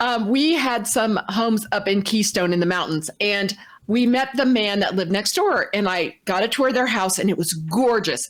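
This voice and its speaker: A woman's plain, everyday voice at a medium pitch, moderate pace and ordinary pitch variation. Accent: American. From Indiana, US Midwest. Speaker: talk show co-host. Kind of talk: casual storytelling.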